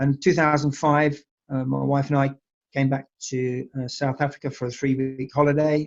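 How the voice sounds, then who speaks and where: In an English accent, a man speaks at a moderate pace with a fairly high pitch. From England. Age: 60s. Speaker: winery owner. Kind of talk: interview. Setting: online call. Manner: hesitant, many fillers.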